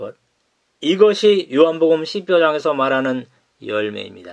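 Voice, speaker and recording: A man speaks in a fairly high pitch. His intonation is lively. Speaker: pastor. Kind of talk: sermon.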